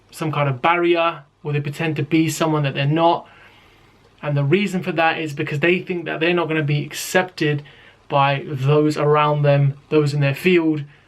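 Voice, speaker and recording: A man with a strong British accent and a fairly high pitch speaks at a moderate pace in a monotone, flat intonation. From Britain. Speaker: rapper and YouTuber. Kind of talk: casual talk to camera.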